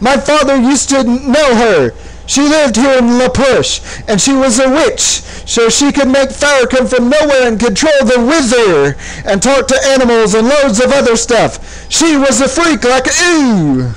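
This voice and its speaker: Shouting in a high, shrill put-on character voice, the speaker keeps a moderate pace over noticeable background noise. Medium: read story. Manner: shrieking, yelling.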